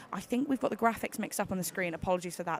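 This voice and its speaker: A woman with a British accent. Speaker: climbing competition commentator. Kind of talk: live commentary. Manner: animated.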